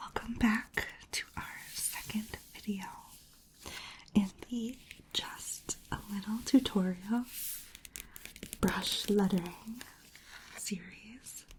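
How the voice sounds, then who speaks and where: Whispering from a woman in a gentle tone, very slow with long, frequent pauses and big swings in loudness, over noticeable background noise. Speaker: ASMR creator and brush lettering instructor. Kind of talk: instructional ASMR tutorial. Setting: indoors at a desk with rain sounds in the background. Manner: soft-spoken, whispering, gentle.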